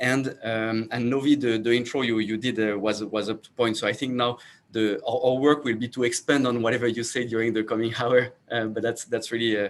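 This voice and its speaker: Delivered at a fairly quick pace, the speech is monotone and flat, in a French accent. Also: man, medium pitch for a man. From France. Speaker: startup founder and CEO. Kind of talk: panel self-introduction. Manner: halting, many fillers and repeats.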